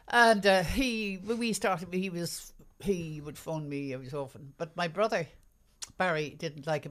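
Lively intonation and big swings in loudness mark this speech with an Irish accent, delivered at a moderate pace. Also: woman. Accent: Irish, mild, refined. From Ireland. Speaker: radio announcer. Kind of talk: casual chat, interview.

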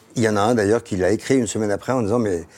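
A man with a fairly low pitch rattles along at a very fast pace. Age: 60s. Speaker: podcast host. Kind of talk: casual chat. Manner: animated.

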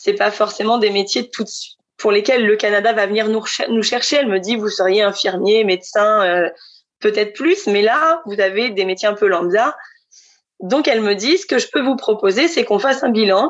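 The woman speaks at a moderate pace with a fairly high pitch. Hers is an ordinary speaking voice with ordinary pitch variation. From central France (Centre region). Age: 30s. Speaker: future expatriate. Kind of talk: testimony.

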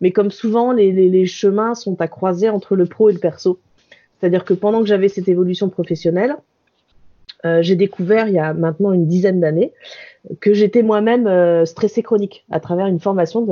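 Using a plain, everyday voice, a woman talks at a fairly quick pace and a medium pitch. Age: 40s. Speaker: workplace wellbeing consultant. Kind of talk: interview.

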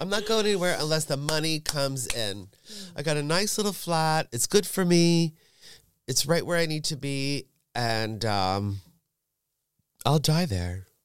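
A man with a New York accent speaks at a fairly slow pace in an animated tone, his fairly high voice swinging very widely in pitch, with long, frequent pauses on a very clean recording against a silent background. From New York suburbs. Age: 50s. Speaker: drag performer. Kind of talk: casual chat. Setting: studio.

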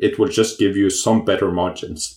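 A man is speaking. He has a Norwegian accent. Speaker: company CEO. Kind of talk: interview. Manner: halting, many fillers.

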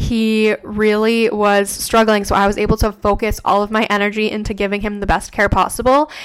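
A woman talks at a fairly high pitch. Noticeable background noise runs under her voice. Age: 20s. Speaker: podcast host and registered nurse. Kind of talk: casual solo chat.

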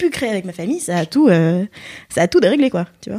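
Her tone is dark and mellow, somewhat breathy, with very wide pitch swings. The woman keeps a moderate pace. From Europe, Philippine family. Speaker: podcast guest. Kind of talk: casual chat.

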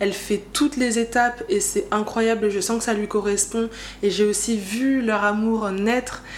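Noticeable background noise sits under speech that keeps very even loudness, fairly even intonation and a fairly slow pace. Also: woman, fairly high pitch for a woman. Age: 20s. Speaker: podcast host. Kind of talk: personal monologue. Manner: casual, hesitant with fillers.

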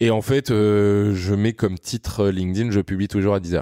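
The man's voice is fairly low in pitch. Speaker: content creator. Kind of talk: casual interview. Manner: animated.

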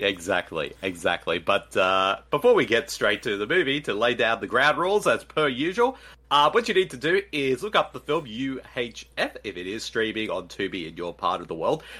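Speaking with an Australian accent at a moderate pace, a man with a medium pitch uses very wide pitch swings and vocal fry, barely pausing at all. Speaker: podcast co-host. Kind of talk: casual chat.

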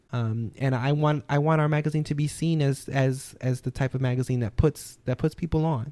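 A man's fairly high, dark and mellow voice with an American accent, fairly even intonation, a fairly quick pace and hardly any pauses. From New Orleans, Louisiana, US South. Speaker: magazine editor. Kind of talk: casual interview.

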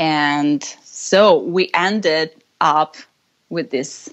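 Ordinary pitch variation in an Italian accent. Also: woman. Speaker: rock band singer. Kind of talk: casual chat. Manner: halting.

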